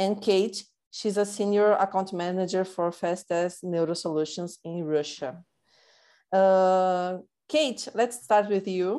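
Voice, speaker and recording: With a Portuguese accent, a woman speaks very slowly in a dark, mellow tone at medium pitch against a quiet background. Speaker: marketing director, podcast host. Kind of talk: casual interview. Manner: halting, repetitive.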